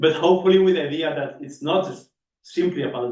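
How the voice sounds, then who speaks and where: A man talks at a fairly quick pace with fairly even intonation. The room echo is audible. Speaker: session chair at a research workshop. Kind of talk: conference session introduction.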